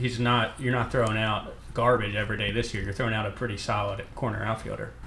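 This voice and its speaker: With an American accent, the speaker delivers the words at a fairly quick pace in a monotone, flat intonation. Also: man. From Northeast Philadelphia. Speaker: baseball beat writer. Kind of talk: casual sports talk chat.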